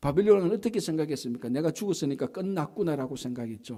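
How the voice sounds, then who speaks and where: A man with a Gyeongsang accent speaks in a dark, mellow tone, fairly high in pitch and with lively intonation. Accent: Gyeongsang (southeastern Korean). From southeastern Korea (Yeongnam). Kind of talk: sermon.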